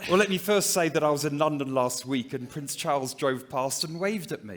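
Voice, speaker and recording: A man with a fairly high pitch and ordinary pitch variation talks at a fairly quick pace over noticeable background noise. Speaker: diamond mining executive. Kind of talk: conference presentation.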